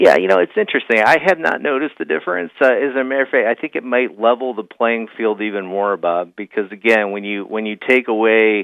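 A man with a medium-pitched voice and a fairly bright tone talks at a fairly quick pace with few pauses. His pitch varies an ordinary amount, and vocal fry comes through.

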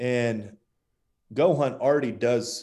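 A man talks with an American accent. His tone is dark and mellow, his intonation fairly even. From Las Vegas, US Southwest. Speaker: company co-founder and hunter. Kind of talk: casual interview chat.

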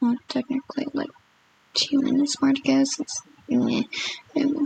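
Noticeable background noise sits behind a woman's voice. The sound is dry and close with no echo. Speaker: amateur vlogger recording first video. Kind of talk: casual monologue. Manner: halting, many fillers and restarts.

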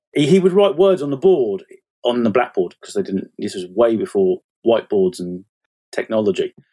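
A man with an English accent speaks at a fairly quick pace and a medium pitch. His tone is dark and mellow, with very wide pitch swings. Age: 40s. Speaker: fantasy author. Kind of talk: casual chat. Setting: online call.

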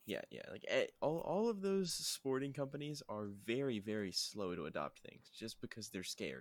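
A man talks at a moderate pace. He barely pauses at all. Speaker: podcast host. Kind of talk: casual chat.

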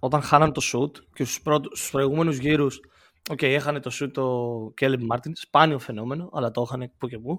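On a very clean recording with a silent background, a man with a normal speaking voice talks at a moderate pace, fairly high in pitch, with fairly even intonation. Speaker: guest co-host, basketball commentator. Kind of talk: casual chat.

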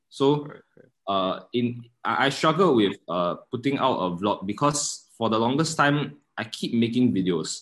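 Over a quiet background, a man with an unremarkable speaking voice talks at a fairly slow pace and medium pitch, with lively intonation. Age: 20s. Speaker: student and filmmaker. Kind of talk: casual chat.

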